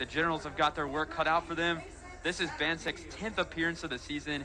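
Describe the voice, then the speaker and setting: Over music in the background, a man with a high pitch talks at a fairly quick pace. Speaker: student broadcaster. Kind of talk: baseball play-by-play commentary.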